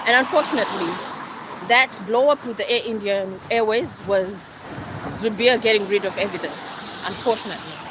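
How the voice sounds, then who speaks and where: Passionate in tone, a woman talks at a moderate pace with a fairly high pitch and ordinary pitch variation. Noticeable background noise sits behind her. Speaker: livestreamer. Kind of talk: live stream monologue. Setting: outdoors, walking. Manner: raised pitch.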